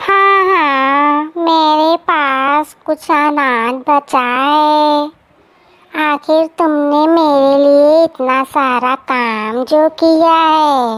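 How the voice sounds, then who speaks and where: A woman's cartoonish character voice, high-pitched and very slow, with fairly even intonation. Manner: cunning, self-serving.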